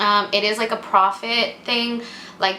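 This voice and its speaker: Amid noticeable background noise and audible room echo, a woman talks at a fairly slow pace in a monotone, flat intonation. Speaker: vlogger and English teacher. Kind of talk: casual vlog Q&A.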